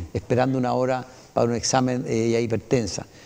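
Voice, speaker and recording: A man rattles along at a very fast pace with ordinary pitch variation. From Chile. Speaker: municipal council candidate, retired pilot. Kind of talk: interview. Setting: TV studio. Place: studio. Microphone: lapel.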